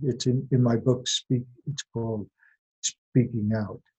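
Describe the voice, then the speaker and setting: At a moderate pace, a man speaks with monotone, flat intonation, a medium pitch, a somewhat breathy, dark, mellow tone and a dry, close sound with no echo. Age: 80s. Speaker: retired literature professor, fairy tale scholar. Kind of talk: interview. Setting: phone or video call.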